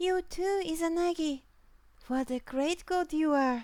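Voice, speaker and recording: In a squeaky, put-on character voice, the speaker talks at a fairly slow pace. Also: woman, extremely high pitch for a woman. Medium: read story.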